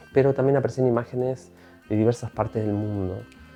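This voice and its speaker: With music playing in the background, the speaker goes at a fairly quick pace with fairly even intonation. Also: man. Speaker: filmmaker. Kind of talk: interview answer.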